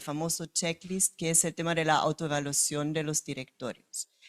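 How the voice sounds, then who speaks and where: A woman speaks with a German accent. The sound is dry and close with no echo, on a very clean recording with a silent background. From Germany. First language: German (speaking Spanish). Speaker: company director. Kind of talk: panel discussion. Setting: event with live audience.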